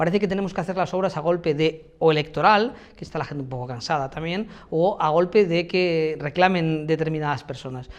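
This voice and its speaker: Fairly quick speech carries ordinary pitch variation. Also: man. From Spain, Elda (Alicante, Valencian region). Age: 40s. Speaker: mayoral candidate, university professor. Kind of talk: interview answers. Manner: hesitant, many fillers.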